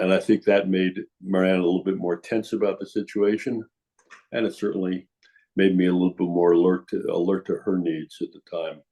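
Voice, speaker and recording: With big swings in loudness, a man talks at a fairly quick pace in a very deep, low voice, dark and mellow in tone, his intonation fairly even. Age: 80s+. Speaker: prostate cancer patient. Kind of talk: interview. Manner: halting.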